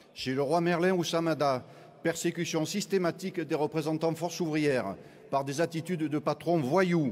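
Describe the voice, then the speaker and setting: On a very clean recording with a silent background, a man with a fairly high pitch speaks with fairly even intonation and very even loudness. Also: moderate pace. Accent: Marseille. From southern France, Marseille. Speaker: trade union delegate. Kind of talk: congress speech.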